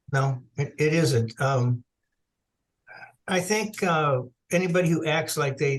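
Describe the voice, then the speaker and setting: A man speaks at a fairly slow pace in a somewhat breathy voice, with ordinary pitch variation. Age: 70s. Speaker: author and researcher. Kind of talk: interview.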